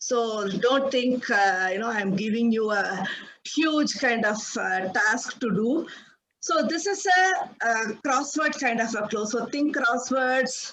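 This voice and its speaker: A woman speaks loudly at a very slow pace with a high pitch. Her intonation is lively, and audible room echo surrounds her voice. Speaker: project management speaker. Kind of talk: presentation. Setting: video call. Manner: halting.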